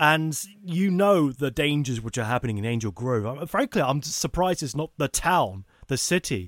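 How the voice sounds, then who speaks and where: Dry and close with no echo, the sound is very clean over a silent background. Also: man, fairly high pitch for a man. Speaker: podcast co-host. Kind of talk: casual chat. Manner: fast.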